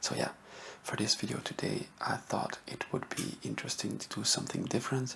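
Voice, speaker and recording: A soft-spoken man talks over noticeable background noise. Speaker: history ASMR YouTuber. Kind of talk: soft-spoken ASMR history talk to camera.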